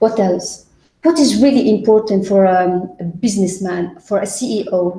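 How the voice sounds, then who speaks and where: A woman speaks at a fairly slow pace in a somewhat breathy voice. Her pitch varies in an ordinary way. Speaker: business teacher. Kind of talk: tutoring session. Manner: halting.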